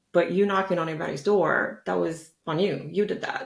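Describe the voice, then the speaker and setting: In a plain, everyday voice, a woman with an American accent talks at a fairly quick pace. Her pitch is fairly low and her intonation lively. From United States. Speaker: journalist, guest interviewer. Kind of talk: interview, casual conversation.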